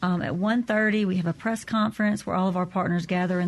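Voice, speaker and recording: In a Southern US accent, a woman speaks fairly quickly at medium pitch with fairly even intonation against a quiet background. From Natchez, Mississippi / Vidalia, Louisiana. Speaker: tourism association director. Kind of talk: radio interview.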